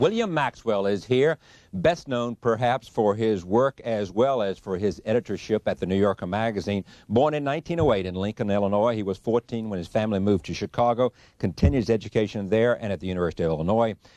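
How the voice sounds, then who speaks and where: Very fast and with ordinary pitch variation, a man's dark, mellow voice comes through dry and close with no echo over a quiet background. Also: fairly low pitch for a man. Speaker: TV interviewer. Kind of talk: interview introduction.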